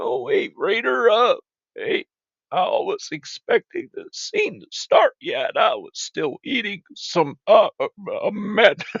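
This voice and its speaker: A man puts on a character voice at an extremely high pitch. He speaks fairly slowly. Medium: machinima. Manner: friendly, easygoing.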